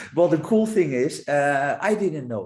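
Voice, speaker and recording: A man with a non-native accent talks at a moderate pace, using lively intonation. His voice is fairly high and somewhat breathy. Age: 50s. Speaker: public speaker. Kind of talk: podcast interview.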